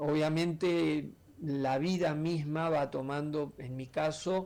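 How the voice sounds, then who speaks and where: At a very slow pace, a man speaks with a fairly high pitch and fairly even intonation. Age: 60s. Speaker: artist, painter and illustrator. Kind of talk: radio interview.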